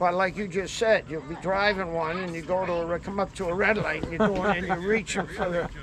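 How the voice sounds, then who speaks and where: A man with a Boston accent speaks at a fairly quick pace with hardly any pauses. His pitch is high and his intonation fairly even, with noticeable background noise. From Massachusetts South Shore. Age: 80s+. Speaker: moving company owner. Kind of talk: casual chat.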